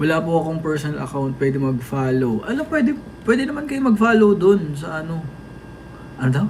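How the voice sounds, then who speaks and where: A man talks fairly quickly in a fairly high pitch with very wide pitch swings, amid noticeable background noise and audible room echo. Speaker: idol group member livestreaming to fans. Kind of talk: casual livestream chat reading comments. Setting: TikTok live stream.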